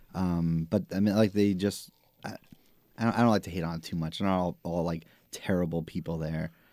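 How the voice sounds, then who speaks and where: In a very clean recording with a silent background, a man with a Staten Island accent speaks at a fairly quick pace in a very deep, low voice with a dark, mellow tone and fairly even intonation. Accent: Staten Island New York. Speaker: podcast co-host. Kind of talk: casual chat.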